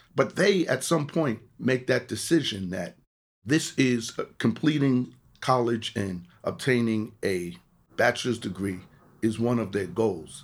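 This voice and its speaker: This man talks in a New York accent at a medium pitch. His pace is fairly slow. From New York City, the Bronx. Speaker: college counselor. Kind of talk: interview.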